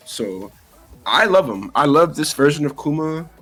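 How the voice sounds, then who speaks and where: At a moderate pace, the speaking continues over music in the background. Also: man. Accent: New York. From New York City. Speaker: fighting game player. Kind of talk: casual interview.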